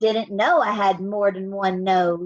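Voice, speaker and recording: This is a put-on character voice in a Western US accent. It moves at a fairly slow pace with fairly even intonation. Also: woman. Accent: folksy Western drawl. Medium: read story.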